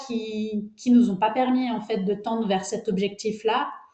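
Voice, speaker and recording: A woman's fairly high pitch at a moderate pace, with fairly even intonation. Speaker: agronomist researcher. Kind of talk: webinar presentation. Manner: hesitant, many fillers.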